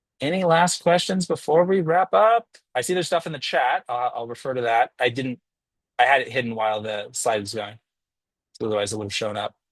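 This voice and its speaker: Speaking at a fairly quick pace, a man with medium pitch uses lively intonation against a quiet background. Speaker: college instructor. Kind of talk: lecture. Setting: video call. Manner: halting; fast.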